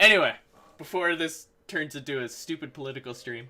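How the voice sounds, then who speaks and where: A man speaks in a bright, sharp tone. His fairly high voice shows ordinary pitch variation. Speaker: gaming streamer. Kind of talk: casual chat. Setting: live stream. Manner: fast.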